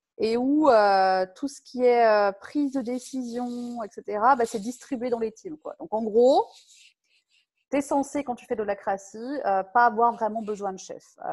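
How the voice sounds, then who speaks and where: Delivered at a very slow pace, the speech has lively intonation and big swings in loudness. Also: woman. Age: 40s. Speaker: software tech lead. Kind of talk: casual interview.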